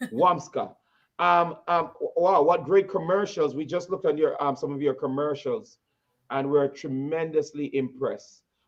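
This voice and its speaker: Speaking with a strong Jamaican accent, a man uses a fairly high pitch and ordinary pitch variation. His pace is moderate. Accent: heavy Jamaican. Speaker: talk show host. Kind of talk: interview. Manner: halting, many repetitions.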